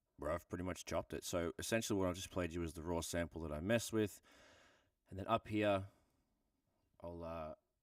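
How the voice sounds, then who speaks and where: Very deep, low-pitched man with an Australian accent, a relaxed tone and a fairly quick pace broken by long, frequent pauses, in a dry, close sound with no echo and a very clean recording with a silent background. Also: fairly even intonation. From Australia, Melbourne. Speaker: music producer. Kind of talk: tutorial. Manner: casual, relaxed.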